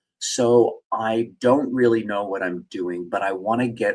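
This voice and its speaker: The man has a normal speaking voice with a medium pitch. He talks at a fairly slow pace. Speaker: working actor, live-stream host. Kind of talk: live-streamed morning report talking to camera. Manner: casual, conversational, chatty.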